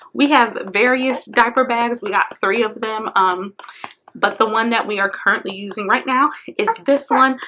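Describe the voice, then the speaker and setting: A woman talks at a moderate pace in a fairly high pitch with ordinary pitch variation. She has a plain, everyday voice. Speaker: parenting vlogger. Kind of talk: product review vlog. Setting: at home beside her baby.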